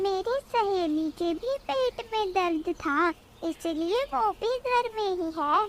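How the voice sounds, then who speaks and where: A woman puts on a cartoonish character voice, extremely high-pitched and lively in intonation, at a fairly slow pace over clear background noise. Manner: soft, trusting.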